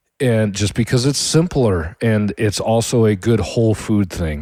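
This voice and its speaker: A man talks with a Midwestern American accent. His tone is dark and mellow, and his pace is fairly slow. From Michigan, US Midwest. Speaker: podcast host, home cook. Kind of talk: casual monologue. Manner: halting.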